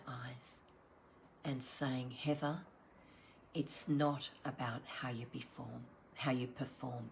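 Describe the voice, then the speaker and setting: A somewhat breathy voice with an Australian accent, speaking at a very slow pace. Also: woman. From Australia, Sydney. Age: 60s. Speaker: wellbeing coach. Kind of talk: online wellbeing session talk. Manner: halting.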